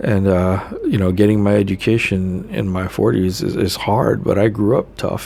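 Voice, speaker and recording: A man with a fairly low pitch and ordinary pitch variation talks at a moderate pace amid noticeable background noise. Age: 40s. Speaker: spiritual vlogger and addiction counselor. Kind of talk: casual live monologue. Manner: hesitant, many fillers.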